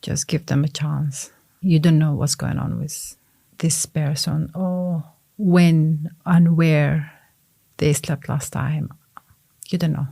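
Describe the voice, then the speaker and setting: Very slowly and with long, frequent pauses, a woman speaks at a very deep, low pitch in a dark, mellow, somewhat breathy tone with monotone, flat intonation. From Sudan. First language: Arabic. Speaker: refugee support worker. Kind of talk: podcast interview.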